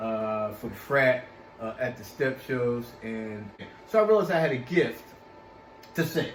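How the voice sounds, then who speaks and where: Speaking with an American accent at a fairly slow pace, the voice has lively intonation and long, frequent pauses, with audible room echo and noticeable background noise. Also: man, medium pitch for a man. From Philadelphia, US. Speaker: actor and singer. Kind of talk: interview. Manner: halting, many fillers.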